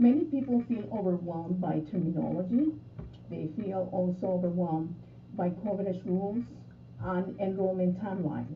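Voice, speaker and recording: A woman at a medium pitch speaks with long, frequent pauses. Audible room echo and noticeable background noise surround her. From Colombia. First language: Spanish. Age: 60s. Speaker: insurance broker. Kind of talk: interview. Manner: formal.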